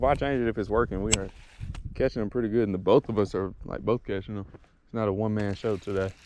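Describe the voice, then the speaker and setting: A man over noticeable background noise. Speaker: fishing vlogger. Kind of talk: casual vlog narration. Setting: outdoors.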